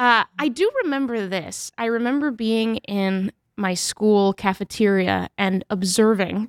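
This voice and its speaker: A woman with an American accent speaks at a medium pitch and a fairly slow pace, with ordinary pitch variation. Hers is a plain, everyday voice, dry and close with no echo on a very clean recording with a silent background. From New Hampshire, born in Mexico. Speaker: author and journalist. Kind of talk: interview.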